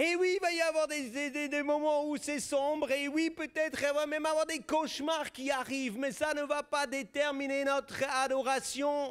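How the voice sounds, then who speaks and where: With a Swiss German accent, a man talks at a moderate pace with an extremely high pitch and hardly any pauses over noticeable background noise. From German-speaking Switzerland. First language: Swiss German (speaking French). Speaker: pastor. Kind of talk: sermon. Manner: animated.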